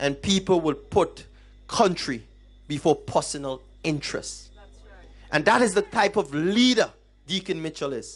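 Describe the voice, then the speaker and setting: An animated voice at a moderate pace with lively intonation, long frequent pauses, and music in the background. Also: man, high pitch for a man. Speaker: political campaign speaker. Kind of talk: political rally speech.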